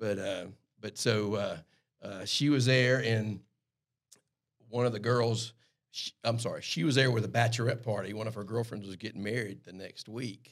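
A man speaks with a strong Southern US accent and a medium pitch. His pace is moderate, with long, frequent pauses. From US South, South Carolina Lowcountry. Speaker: airline pilot. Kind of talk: casual chat. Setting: studio.

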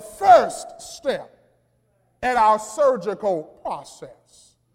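A man is talking here. His tone is animated. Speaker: preacher. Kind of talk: sermon, preacher in full flow with call-and-response. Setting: church. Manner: animated, loud, exhorting the congregation; rhythmic, emphatic, punchy repetition.

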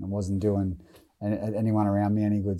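A man with an Australian accent speaks at a fairly quick pace in a fairly low pitch, his dark, mellow tone held to a monotone, flat intonation on a very clean recording with a silent background. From Australia, Newcastle NSW. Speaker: former rugby league player and brain cancer charity founder. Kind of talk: interview.

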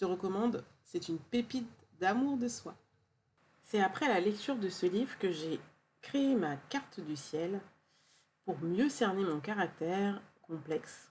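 A woman with a warm, gentle tone and medium pitch, at a fairly slow pace with lively intonation and long, frequent pauses. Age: 40s. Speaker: podcast host, wellness practitioner. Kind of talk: solo podcast monologue.

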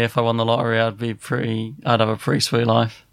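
A man at medium pitch with an English accent, talking at a very fast pace. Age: 30s. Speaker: podcast host. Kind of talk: casual chat.

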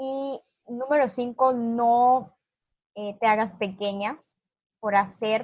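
Her pitch is fairly high for a woman. She keeps her intonation fairly even. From Honduras. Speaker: activist, foundation founder. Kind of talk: interview. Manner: halting.

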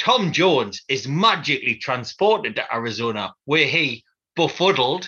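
With a bright, sharp tone and a slightly husky edge, a man talks at a fairly slow pace using lively intonation. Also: medium pitch for a man.

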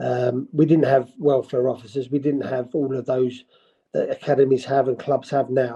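In a London accent, a man talks with a dark, mellow tone and a fairly high pitch. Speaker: football manager. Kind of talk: interview.

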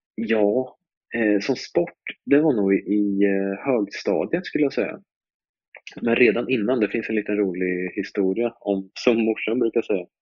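At a moderate pace, a man with a fairly low pitch talks in a normal speaking voice, with ordinary pitch variation and very even loudness. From Sweden, Östergötland (Malmslätt near Linköping). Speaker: drift racing driver. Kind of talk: casual interview.

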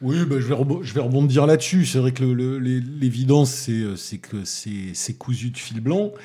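A man with a Toulouse accent talks at medium pitch in a dark, mellow tone. He sounds somewhat breathy and uses hardly any pauses. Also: ordinary pitch variation, fairly slow pace. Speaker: film critic. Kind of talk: casual chat. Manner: halting, repeats words.

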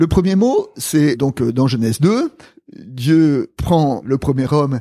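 In a very clean recording with a silent background and a dry, close sound with no echo, a man with a fairly high pitch and a dark, mellow tone speaks with lively intonation. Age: old. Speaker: theologian and retired pastor. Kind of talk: conversational interview on theology.

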